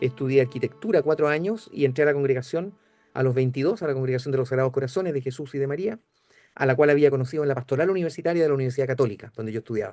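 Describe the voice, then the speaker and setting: Speaking at a very fast pace, a man with a dark, mellow tone keeps a fairly high pitch and ordinary pitch variation. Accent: Chilean. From Chile, Santiago. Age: 70s. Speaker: priest and liturgy professor. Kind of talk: interview. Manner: halting, many fillers.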